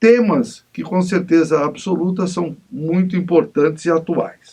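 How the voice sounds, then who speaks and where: A man's high-pitched voice at a fairly slow pace. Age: 60s. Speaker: TV interview host and union leader. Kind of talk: TV interview.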